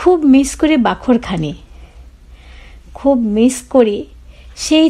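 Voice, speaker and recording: A dark, mellow tone from a woman, full of very wide pitch swings. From Old Dhaka, Bangladesh. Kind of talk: personal memoir narration.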